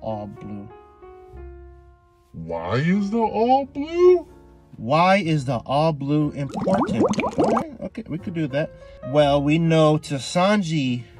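Delivery is very slow, with very wide pitch swings. The sound is dry with no echo, and music plays in the background. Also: man. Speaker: anime commentary youtuber. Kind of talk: casual commentary.

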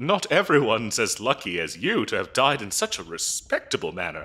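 With a bright, sharp tone and a slightly husky edge, this put-on character voice moves at a moderate pace through very wide pitch swings. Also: man, fairly low pitch for a man.

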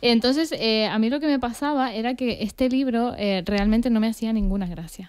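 Against a quiet background, a woman speaks at a moderate pace with hardly any pauses. Her pitch is fairly high, with ordinary variation. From Argentina, raised in Tenerife from age 10; Argentina. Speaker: podcast co-host. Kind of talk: casual chat. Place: studio. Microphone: studio mic.

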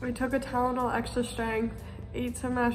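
A woman speaks at a high pitch and a fairly quick pace with monotone, flat intonation. Clear music sounds in the background. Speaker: vlogger. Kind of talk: casual vlog chat.

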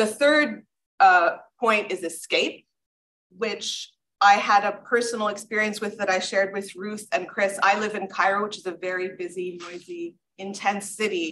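Over light background noise, a woman with a bright, sharp tone talks at a moderate pace, at medium pitch and with fairly even intonation. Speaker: architect and professor; professor. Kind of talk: conference panel presentation. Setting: stage with audience. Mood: personal, reflective storytelling. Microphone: video call.

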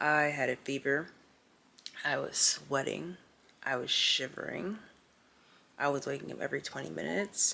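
A woman speaks at a moderate pace in a very deep, low voice, her pitch swinging very widely. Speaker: vlogger. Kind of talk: casual vlog chat. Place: home room. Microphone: phone near.

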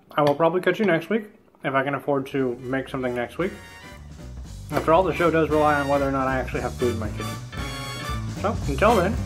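A man at a very fast pace over clear music in the background. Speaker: cooking show host. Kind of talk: casual vlog chat. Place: kitchen. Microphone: phone near.

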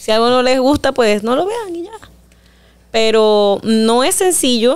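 Speaking at a fairly slow pace, a woman has a strong Panamanian accent. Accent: Panamanian rural accent, strong. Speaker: singer; interviewee. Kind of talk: interview. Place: studio. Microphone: studio mic.

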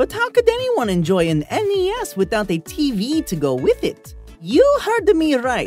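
A man's put-on character voice at an extremely high pitch, moderate pace, over clear music in the background. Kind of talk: TV infomercial parody. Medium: role play. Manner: upbeat, excitable.

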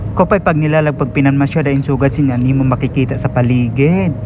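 Against noticeable background noise, a man with an Eastern Visayas accent speaks at a fairly quick pace in a fairly high pitch. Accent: Waray-accented Tagalog, hard-sounding. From Eastern Visayas (Waray-speaking region). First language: Waray (speaking Tagalog). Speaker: travel vlogger. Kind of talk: casual vlog narration. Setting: walking around a shopping mall. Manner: animated.

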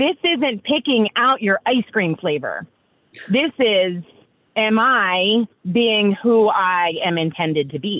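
A woman with an American accent speaks in a fairly high pitch at a very slow pace. Her pitch swings very widely. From New York. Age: 40s. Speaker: entrepreneur. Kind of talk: casual interview chat. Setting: video call.

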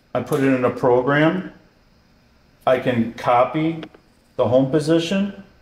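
With audible room echo around him, a man talks in fairly even intonation. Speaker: product demonstrator. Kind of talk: tutorial. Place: workshop.

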